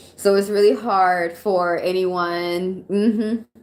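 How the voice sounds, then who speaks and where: This is a woman with a normal speaking voice. Her pitch is fairly low and her intonation fairly even. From Atlanta, US South. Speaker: tarot reader. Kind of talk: live stream tarot reading. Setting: live stream. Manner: casual, conversational.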